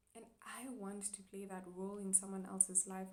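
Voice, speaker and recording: A woman's voice carries audible room echo. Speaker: chiropractic student vlogger. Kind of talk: personal vlog monologue. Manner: hesitant, many fillers.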